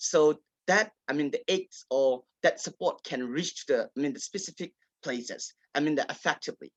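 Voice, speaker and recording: Recorded with a dry, close sound and no echo, a man speaks with a Burmese accent. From Kachin State, Myanmar. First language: Kachin. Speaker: writer and advocate. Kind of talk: panel discussion. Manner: halting, many fillers.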